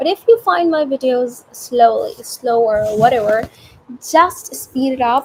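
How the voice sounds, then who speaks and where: The speaker's intonation is lively, and noticeable background noise runs underneath. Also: woman. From India. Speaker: student vlogger. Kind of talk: casual unscripted vlog. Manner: slow; halting.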